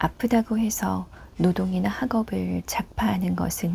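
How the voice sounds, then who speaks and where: Talking fairly slowly, this voice is soft-spoken. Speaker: book narrator. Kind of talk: prose reading, ASMR. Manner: quiet, soft-spoken.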